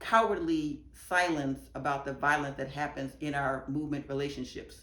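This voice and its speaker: With audible room echo, a woman speaks at a moderate pace in a very deep, low voice with fairly even intonation. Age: 60s. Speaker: activist giving testimony. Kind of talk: testimony.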